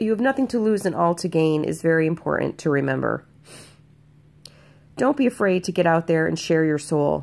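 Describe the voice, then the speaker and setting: A woman speaks at a fairly quick pace. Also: very clean recording, silent background. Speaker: spiritual healer and vlogger. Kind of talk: inspirational monologue. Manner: halting.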